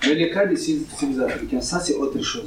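A man speaks at a moderate pace. Audible room echo and noticeable background noise are present. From Niger. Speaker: migrant rights activist. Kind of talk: public talk with consecutive interpretation.

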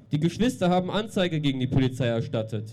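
A man's intonation is lively as music plays behind him. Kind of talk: protest speech. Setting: outdoors. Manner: formal.

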